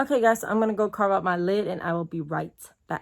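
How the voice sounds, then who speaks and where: A woman is talking. Her delivery moves at a fairly quick pace. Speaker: beauty vlogger. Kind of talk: makeup tutorial and product review. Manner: fast; casual, chatty.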